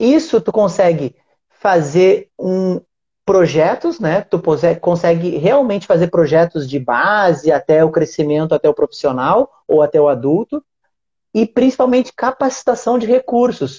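The speaker's loudness stays very even while the pitch swings very widely. The pace is fairly slow. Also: man, high pitch for a man. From Brazil, Rio Grande do Sul (Uruguaiana). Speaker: podcast host. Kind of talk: casual interview chat. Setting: online live stream.

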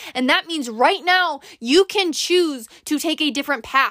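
A woman's raised, projected voice, high-pitched, bright and sharp, with an animated tone and ordinary pitch variation, in a very clean, silent recording with a dry, close sound and no echo. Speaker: podcast host. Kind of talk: pep talk. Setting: solo recording. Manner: warm, earnest.

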